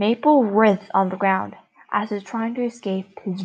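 Someone reads from a text. It comes across plainly.

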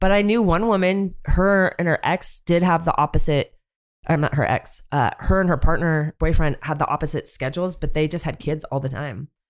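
With an American accent and a normal speaking voice, a woman talks at a fairly low pitch and a moderate pace with ordinary pitch variation, in a very clean recording with a silent background. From US West Coast (Northern California). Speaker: educator and single mom, podcast guest. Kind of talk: casual chat.

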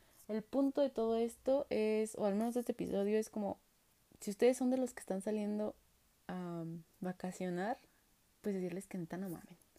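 A woman with a Mexican accent speaks at a moderate pace, her fairly high voice carrying a dark, mellow tone and ordinary pitch variation. Long, frequent pauses break up her speech, and the sound is dry and close with no echo. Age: 20s. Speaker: podcast host. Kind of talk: casual monologue. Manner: animated.

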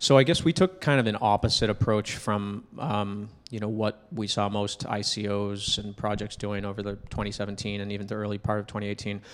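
Using an ordinary speaking voice, a man talks at a fairly quick pace with hardly any pauses, a fairly low pitch and fairly even intonation. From New Hampshire, US. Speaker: startup founder. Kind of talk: casual interview.

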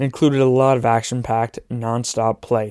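On a very clean recording with a silent background, a man speaks at a moderate pace with a dark, mellow tone and fairly even intonation, the sound dry and close with no echo. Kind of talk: radio newsreading. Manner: clear, formal, measured newscaster tone.

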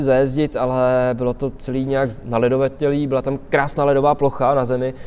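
A man with an ordinary speaking voice talks at a fairly quick pace and a fairly high pitch. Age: 20s. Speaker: skateboarder. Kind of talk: casual interview chat. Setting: outdoors under a bridge in winter.

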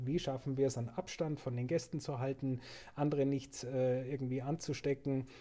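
With a Bavarian accent, a man speaks at a medium pitch in a somewhat breathy, dark, mellow tone with fairly even intonation. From Upper Bavaria (Murnau/Seehausen). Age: 40s. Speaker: hotel director. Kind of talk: casual interview.

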